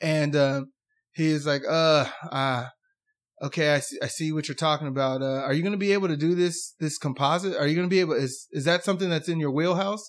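A man talks in a normal speaking voice at a fairly quick pace. His pitch is fairly high and his intonation fairly even. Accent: American. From United States. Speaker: dentist. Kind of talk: casual chat.

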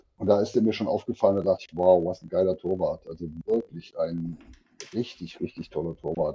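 A very deep, low male voice, dark and mellow, at a fairly quick pace. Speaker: podcast host. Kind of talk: casual podcast chat. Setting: remote call from work. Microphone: poor audio quality.

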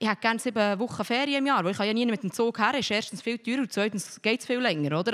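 A woman speaks at a very fast pace with a fairly high pitch. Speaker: shop owner. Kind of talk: panel discussion.

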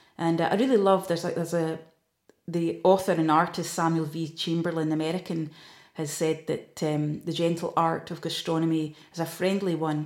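Her voice is fairly low, and this woman talks at a moderate pace with monotone, flat intonation. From Scotland, Aberdeenshire. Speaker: food tour company owner. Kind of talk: interview. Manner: hesitant with fillers.

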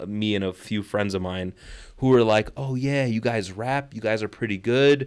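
On a very clean recording against a silent background, a man talks fairly quickly. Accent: Chicago. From Chicago. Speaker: rapper and English teacher. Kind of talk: casual interview. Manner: animated, profane.

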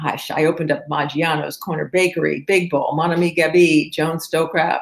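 A woman's normal speaking voice, fairly low in pitch, at a fairly quick pace with fairly even intonation. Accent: American. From Maryland/Virginia area, US. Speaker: PR and marketing firm CEO. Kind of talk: casual interview.

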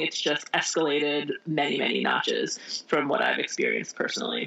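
A woman talks at a fairly quick pace with an American accent and hardly any pauses. Her loudness stays very even over noticeable background noise. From US Midwest, Indiana. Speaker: author. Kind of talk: interview.

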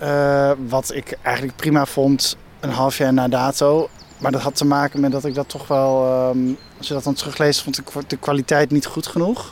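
This man's voice is fairly high and monotone, with flat intonation. He talks at a moderate pace. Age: 30s. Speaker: film director. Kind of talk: casual interview on a walk. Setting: outdoors, walking. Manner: halting.

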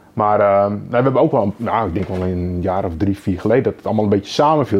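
His pitch fairly low and varying in an ordinary way, a man talks at a very fast pace. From Netherlands, Lelystad (Flevoland). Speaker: carp angler and angling writer. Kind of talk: podcast interview. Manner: halting, repeats words.

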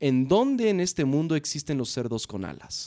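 A man's dark, mellow tone with very wide pitch swings, in a dry, close sound with no echo over a quiet background. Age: 30s. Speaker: craft brewery founder. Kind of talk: interview. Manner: halting, frequent repetitions.

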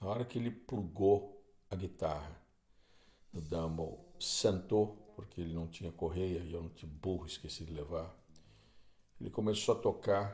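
A man speaks at a moderate pace in a very deep, low pitch, his voice somewhat breathy. His loudness swings widely, and he takes long, frequent pauses. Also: ordinary pitch variation. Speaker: podcast host and guitarist. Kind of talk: solo storytelling monologue. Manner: conversational, with hesitations.

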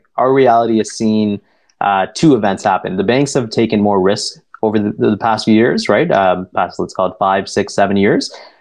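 A man with an unremarkable speaking voice speaks at a moderate pace and fairly low pitch. His pitch variation is ordinary, and the background is quiet. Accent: Canadian. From Toronto, Canada. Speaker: private debt investment director. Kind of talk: podcast interview.

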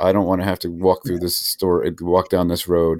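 On a very clean recording with a silent background, a man with a very deep, low pitch speaks at a moderate pace. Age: 40s. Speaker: podcast host, trust company chairman. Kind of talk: interview.

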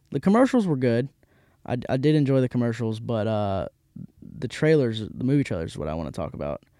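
In a Mississippi accent, a man with a dark, mellow tone swings very widely in pitch, the sound dry and close with no echo on a very clean recording with a silent background. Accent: Mississippi Southern US. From US South, Hattiesburg, Mississippi. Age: 20s. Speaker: podcast host. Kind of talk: casual chat. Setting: studio.

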